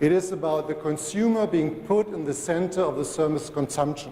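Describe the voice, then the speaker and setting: With a strong German accent, a man speaks at a fairly high pitch amid audible room echo and noticeable background noise. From Germany. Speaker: telecom industry speaker. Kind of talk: conference presentation.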